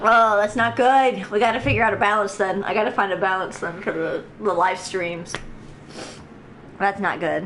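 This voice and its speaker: A woman at a moderate pace with ordinary pitch variation and audible room echo. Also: medium pitch for a woman. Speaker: video game streamer. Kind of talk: live gameplay stream commentary; reading aloud in-game text. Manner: animated.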